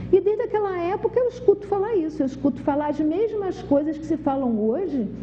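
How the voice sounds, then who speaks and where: A woman talks at a moderate pace with very wide pitch swings over noticeable background noise. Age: 60s. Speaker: TV health show host. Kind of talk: TV talk monologue.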